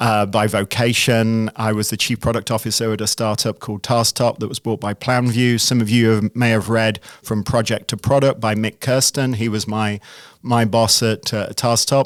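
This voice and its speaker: A man with an American accent speaks at a moderate pace in a flat monotone. The recording is very clean, with a silent background and a dry, close sound free of echo. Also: medium pitch for a man. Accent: British accent becoming increasingly American. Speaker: CEO and product manager. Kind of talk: podcast interview. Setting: studio.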